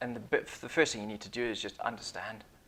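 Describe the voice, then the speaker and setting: Speaking at a very fast pace, a man uses a bright, sharp tone with vocal fry and fairly even intonation. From Zimbabwe. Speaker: business consultant, former Royal Marine commando. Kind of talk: interview. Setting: studio.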